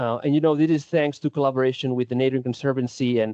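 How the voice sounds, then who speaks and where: At a very fast pace, the speaker talks with fairly even intonation in a Spanish accent. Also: man. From Spain. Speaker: defensible space supervisor. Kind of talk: presentation.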